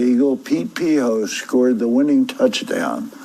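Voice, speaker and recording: There's noticeable background noise as a man speaks at a moderate pace. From Philadelphia. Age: 70s. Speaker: retired naval officer and football fan. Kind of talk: interview.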